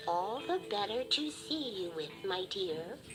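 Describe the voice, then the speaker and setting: A put-on character voice at a middle pitch, fairly slow, over clear background noise. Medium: read story. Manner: sly, wheedling.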